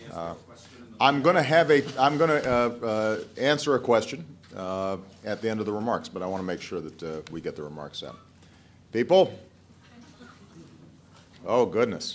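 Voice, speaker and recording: At a moderate pace with long, frequent pauses, the voice swings widely in both pitch and loudness over light background noise. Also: man. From United States. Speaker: politician. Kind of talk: ad-libbed public speech. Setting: live event, audience. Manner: halting, stuttering. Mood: joking, slightly awkward. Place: hall. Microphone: podium.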